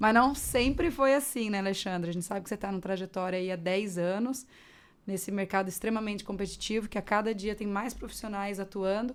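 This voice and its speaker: In a normal speaking voice, a woman at medium pitch talks at a fairly quick pace with ordinary pitch variation. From Mato Grosso do Sul, Brazil. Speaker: podcast host. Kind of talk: podcast interview.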